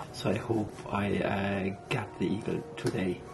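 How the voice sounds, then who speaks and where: The voice belongs to a man. Noticeable background noise is present. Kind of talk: casual vlog chat. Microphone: phone near.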